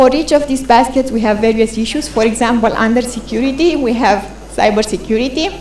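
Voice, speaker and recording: Fairly high female voice at a fairly quick pace, with ordinary pitch variation, audible room echo and noticeable background noise. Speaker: conference speaker presenting a policy tool. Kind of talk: conference presentation. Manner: fast.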